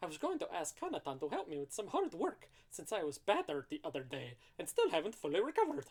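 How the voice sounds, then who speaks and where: At a very fast pace, someone performs a put-on character voice in a middle pitch. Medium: read story. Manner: overwrought, theatrical.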